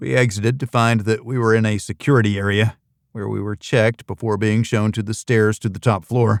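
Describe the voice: This is plain reading aloud, set against a quiet background.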